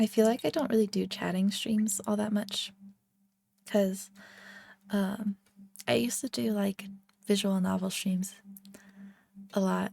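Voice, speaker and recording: Soft-spoken delivery broken by long, frequent pauses. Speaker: VTuber streamer. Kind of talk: ASMR stream chat.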